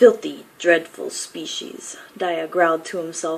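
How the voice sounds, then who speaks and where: Against noticeable background noise, a woman speaks in a fairly low pitch with monotone, flat intonation. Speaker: author. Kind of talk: fiction reading.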